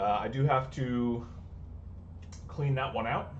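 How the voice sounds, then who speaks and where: A man speaks in a somewhat breathy voice. There is audible room echo. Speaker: repair technician and streamer. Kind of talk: live stream repair tutorial. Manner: fast.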